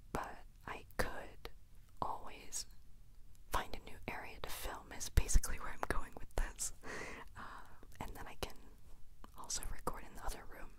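A woman whispers, leaving long, frequent pauses between her words. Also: moderate pace, big swings in loudness. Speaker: vlogger. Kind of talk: casual vlog chat. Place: home room. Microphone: handheld.

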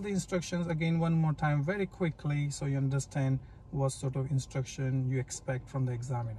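A man speaks with ordinary pitch variation in a dry sound with no echo, over light background noise. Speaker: driving instructor. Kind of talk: tutorial. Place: car. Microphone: phone near.

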